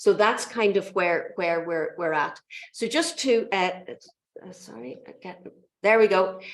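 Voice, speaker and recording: A woman with an Irish accent at a fairly slow pace, with lively intonation, big swings in loudness, and long, frequent pauses. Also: medium pitch for a woman. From Ireland. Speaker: mathematics lecturer and education researcher. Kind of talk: lecture.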